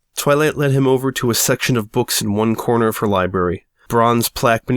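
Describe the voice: The pitch varies in an ordinary way through this plain reading aloud.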